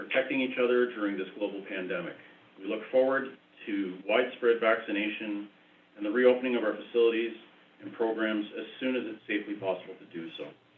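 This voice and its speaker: Audible room echo surrounds the speech, which moves at a fairly quick pace. The loudness swings widely. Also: man. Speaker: township chief administrator. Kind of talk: budget presentation at council meeting. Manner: hesitant with many fillers.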